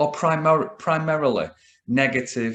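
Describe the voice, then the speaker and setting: With a northern English accent, a man speaks at a very slow pace. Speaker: business coach. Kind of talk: solo talk to camera. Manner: casual, hesitant with fillers.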